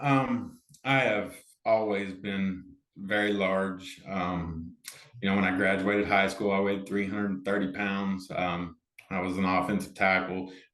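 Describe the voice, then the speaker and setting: Heard with audible room echo, a man with an American accent speaks at a fairly low pitch. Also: fairly slow pace. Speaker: amateur pickleball player and organizer. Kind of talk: casual interview chat. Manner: loud; animated.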